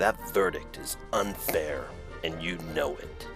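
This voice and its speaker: A put-on character voice delivers its lines at a fairly slow pace over loud music in the background. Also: man, extremely high pitch for a man. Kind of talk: serious, dramatic. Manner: broody, brooding.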